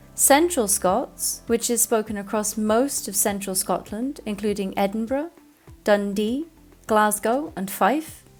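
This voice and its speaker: With music in the background, a woman speaks at a fairly high pitch. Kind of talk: educational narration.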